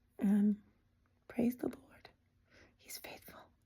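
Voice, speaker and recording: On a very clean recording with a silent background, a woman talks at a moderate pace in a somewhat breathy voice with a dark, mellow tone. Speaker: mother sharing home birth experiences. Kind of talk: personal testimony monologue. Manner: conversational with frequent fillers.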